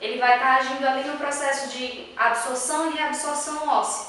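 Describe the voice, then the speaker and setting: A woman speaks in a northeastern Brazilian accent at a moderate pace, her pitch high. The recording carries audible room echo and noticeable background noise. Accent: Northeast Brazilian. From Northeast Brazil. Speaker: dentist. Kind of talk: educational talk.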